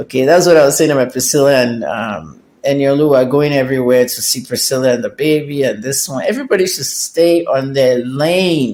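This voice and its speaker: At a fairly quick pace, a man uses an ordinary speaking voice, fairly high in pitch with ordinary pitch variation. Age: 60s. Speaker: celebrity gossip commentator. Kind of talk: casual vlog commentary.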